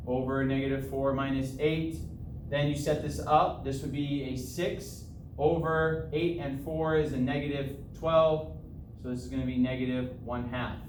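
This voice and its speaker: A man's fairly high-pitched voice at a moderate pace, with ordinary pitch variation and audible room echo. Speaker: math teacher. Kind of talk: tutorial.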